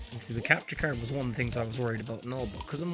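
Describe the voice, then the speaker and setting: A man speaks with a strong Irish accent. Music plays in the background. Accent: thick Irish. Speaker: gaming streamer. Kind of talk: live stream gaming chat.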